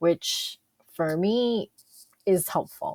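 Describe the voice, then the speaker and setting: This woman talks at a medium pitch with lively intonation. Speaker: college instructor. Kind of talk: screen-recorded tutorial. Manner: hesitant, many fillers.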